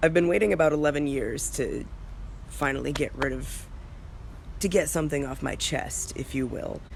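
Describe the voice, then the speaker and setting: Male speech at a moderate tempo, broken by long, frequent pauses, with background noise clearly audible. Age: 20s. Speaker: video blogger. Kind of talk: casual vlog update.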